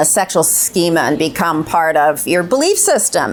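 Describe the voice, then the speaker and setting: A woman speaks at a fairly slow pace with very wide pitch swings amid noticeable background noise. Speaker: clinical psychologist. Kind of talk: panel discussion. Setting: stage with audience. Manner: loud.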